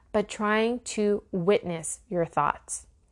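Against a quiet background, a woman with a plain, everyday voice speaks fairly slowly with lively intonation. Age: 30s. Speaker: spiritual life coach. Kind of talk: solo teaching podcast.

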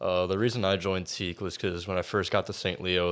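Very deep and low, a man's voice with an American accent speaks at a moderate pace on a very clean recording with a silent background. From Florida. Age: 20s. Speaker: fraternity member, college student. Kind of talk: casual interview.

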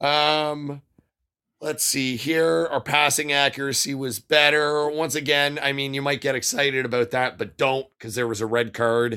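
At a moderate pace, a man speaks in a fairly high pitch with a bright, sharp tone and fairly even intonation. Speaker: podcast co-host. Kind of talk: casual chat, post-match discussion. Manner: casual, profane, jokey.

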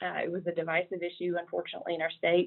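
A woman with a Southern US accent speaks at a fairly low pitch. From South Carolina. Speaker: government official. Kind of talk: casual interview.

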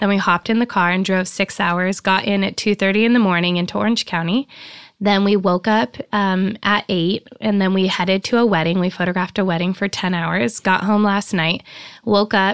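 In a plain, everyday voice, a woman speaks at a moderate pace and medium pitch with an American accent, her intonation fairly even and her loudness very even, on a very clean recording with a silent background and a dry, close sound with no echo. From Nevada, Reno area. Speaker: photographer. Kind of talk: interview.

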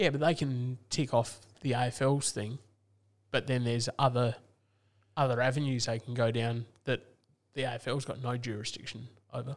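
A man at a medium pitch and moderate pace, fairly even intonation, long, frequent pauses. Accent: Australian. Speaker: football podcast co-host. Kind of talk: casual banter about AFL.

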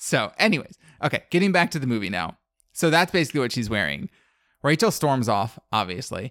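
Vocal fry runs through a fairly quick delivery with very wide pitch swings, the sound dry and close with no echo. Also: man, medium pitch for a man. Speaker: podcast co-host. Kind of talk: casual chat. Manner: fast talker.

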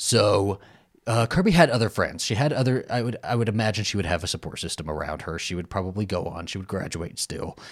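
A very fast, fairly low-pitched male voice with lively intonation, in a very clean recording with a silent background. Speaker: podcast co-host. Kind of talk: casual chat. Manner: animated.

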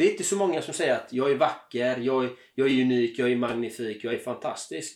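Here a man talks at a medium pitch and a fairly quick pace. His pitch varies in an ordinary way. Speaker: life purpose coach. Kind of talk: interview. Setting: cabin in the countryside. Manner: enthusiastic.

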